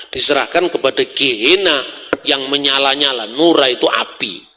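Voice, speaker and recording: A man speaks with a Javanese accent at a fairly high pitch. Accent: Javanese accent in Indonesian. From Java, Indonesia. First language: Javanese (speaking Indonesian). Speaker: religious scholar, speaker. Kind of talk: public lecture.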